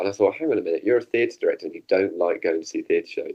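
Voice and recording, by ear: At a fast pace, a man with a low pitch and a dark, mellow tone speaks with lively intonation.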